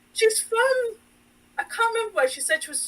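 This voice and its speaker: With an English accent, a woman projects a raised voice in a bright, sharp tone. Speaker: sewing designer. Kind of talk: casual podcast chat.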